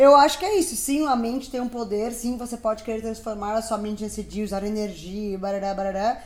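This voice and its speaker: The speech moves at a fairly quick pace with hardly any pauses and ordinary pitch variation. Background noise is noticeable. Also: woman, fairly high pitch for a woman. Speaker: podcast co-host. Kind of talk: casual chat. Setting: recording at home.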